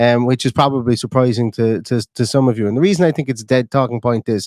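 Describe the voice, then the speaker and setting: A man with an Irish accent speaks at a very fast pace. The sound is dry and close, with no echo. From Ireland. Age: 30s. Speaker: football fan podcaster. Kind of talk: casual chat. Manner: repetitive, stammering restarts.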